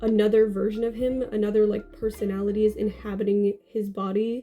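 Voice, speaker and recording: Her pitch fairly high and her intonation fairly even, a woman speaks at a fairly quick pace. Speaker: book vlogger. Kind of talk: casual vlog talk. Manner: hesitant, many fillers.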